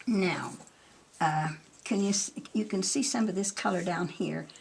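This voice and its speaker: A woman speaks at a medium pitch with ordinary pitch variation. Noticeable background noise can be heard. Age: 80s+. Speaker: melted crayon painter. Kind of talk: art demonstration.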